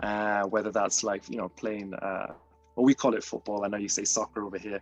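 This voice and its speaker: With music in the background, a British accent comes through at a fairly quick pace, monotone and flat, in a dry, close sound with no echo. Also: man, fairly low pitch for a man. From Britain. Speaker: artist. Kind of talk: artist talk. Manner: hesitant, many fillers.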